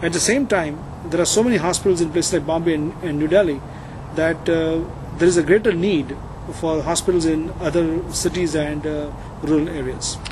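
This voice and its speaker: Noticeable background noise sits behind a man with an Indian accent. His high voice moves at a fairly quick pace with fairly even intonation. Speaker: cardiologist. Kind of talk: interview.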